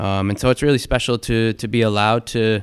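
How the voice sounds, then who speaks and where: In an American accent, a man with a fairly low voice speaks fairly quickly with monotone, flat intonation. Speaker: documentary photographer. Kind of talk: interview. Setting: studio.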